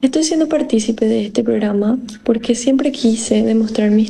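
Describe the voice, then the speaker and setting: A woman speaks at a fairly slow pace, her pitch fairly high and her tone dark and mellow. Her voice is somewhat breathy. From Paraguay, Itapúa. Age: 20s. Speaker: singer contestant. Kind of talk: self-introduction.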